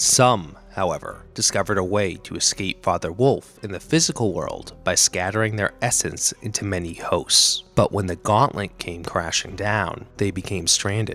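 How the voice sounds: A man with a Boston accent speaks at a moderate pace with few pauses. His pitch is low, with ordinary variation and a fairly bright tone. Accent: Boston American.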